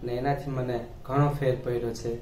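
A man's monotone, flat voice amid audible room echo and light background noise. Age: 30s. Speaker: patient. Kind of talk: testimony. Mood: calm, grateful. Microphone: camera far.

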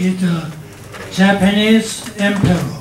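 A man speaks at a very slow pace in a high pitch with ordinary pitch variation. There's audible room echo and light background noise. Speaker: professor. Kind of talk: lecture to an audience. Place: hall.

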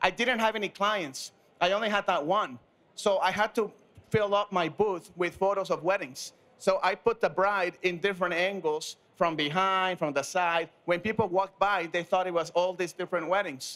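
A man talks at a moderate pace with a bright, sharp tone. His intonation is fairly even and his loudness very even. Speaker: panelist. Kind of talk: panel discussion anecdote. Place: studio. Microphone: handheld.

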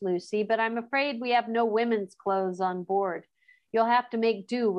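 The background stays quiet. Someone is doing plain reading aloud.

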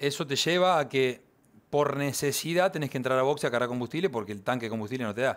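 A man talks at a very fast pace, and his pitch varies in an ordinary way. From Argentina. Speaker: racing driver; guest. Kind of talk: interview. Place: studio. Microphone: headset.

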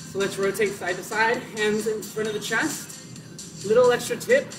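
Over music in the background, a man talks at a moderate pace in a high pitch. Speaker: fitness instructor. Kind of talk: live workout instruction. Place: garden. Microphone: camera far.

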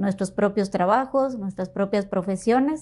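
The speech keeps a moderate pace with ordinary pitch variation. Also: woman. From Matamoros, Tamaulipas, northern Mexico; Tamaulipas, Mexico. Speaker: foundation co-founder; guest. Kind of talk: interview. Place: studio. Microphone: lapel.

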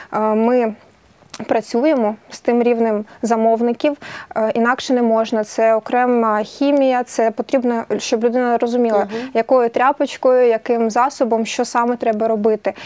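In a dark, mellow tone, a woman talks at a moderate pace with monotone, flat intonation. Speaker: guest. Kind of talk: interview answer. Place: studio.

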